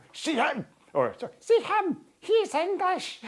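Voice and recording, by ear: A put-on character voice, extremely high-pitched, at a fairly slow pace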